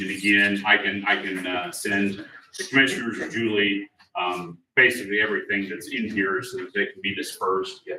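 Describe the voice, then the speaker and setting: With fairly even intonation at a fairly low pitch, a man's voice shows big swings in loudness. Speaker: insurance plan administrator presenter. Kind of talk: informational presentation.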